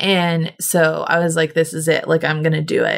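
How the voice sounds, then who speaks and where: Someone with an American accent speaks at a moderate pace in a very clean recording with a silent background. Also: woman. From Oklahoma (Cushing). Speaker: podcast host. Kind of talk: personal interview / testimony. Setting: at home, in person.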